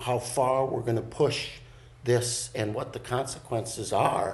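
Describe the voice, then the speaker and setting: A man of medium pitch talks with an American accent, sounding somewhat breathy. There is audible echo from the room. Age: 60s. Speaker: college program co-director. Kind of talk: interview. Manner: halting, many fillers.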